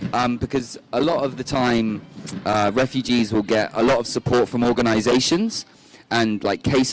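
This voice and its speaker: Against noticeable background noise, a man with a British accent talks at a moderate pace with medium pitch and fairly even intonation. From United Kingdom. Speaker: refugee charity volunteer manager. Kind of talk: interview.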